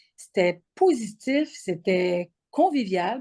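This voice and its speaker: Her voice is somewhat breathy with a dark, mellow tone, a fairly high pitch for a woman and ordinary pitch variation. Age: 60s. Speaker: program participant. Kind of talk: testimony; interview. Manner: halting, frequent repetitions and fillers.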